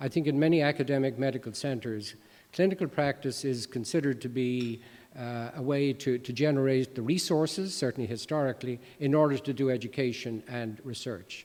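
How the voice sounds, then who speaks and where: A man speaks at a medium pitch with an American accent. His pace is fairly quick, with ordinary pitch variation. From Ireland, Dublin. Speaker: professor of medicine. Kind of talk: lecture. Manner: halting, many fillers.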